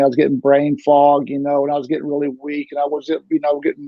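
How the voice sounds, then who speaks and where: A man speaks at a moderate pace. His pitch is fairly high for a man. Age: 60s. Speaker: liver transplant recipient. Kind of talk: interview. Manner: halting.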